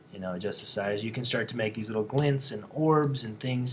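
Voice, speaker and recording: Over noticeable background noise and audible room echo, a man talks at a fairly quick pace and medium pitch. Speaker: design instructor. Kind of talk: lecture. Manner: fast; casual.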